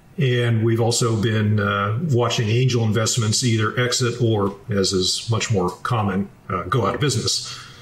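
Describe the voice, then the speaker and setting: A man talks with fairly even intonation. There is audible room echo and noticeable background noise. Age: 60s. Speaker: military retiree and finance author. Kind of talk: interview. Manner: measured, with frequent filler 'uh'.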